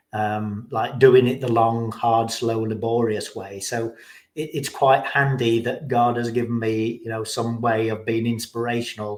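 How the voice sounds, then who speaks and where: A man at a medium pitch talks in a monotone, flat intonation at a moderate pace. The recording is very clean, with a silent background. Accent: English. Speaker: recovering alcoholic sharing his story. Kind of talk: interview, personal testimony. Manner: hesitant, many fillers and repeats.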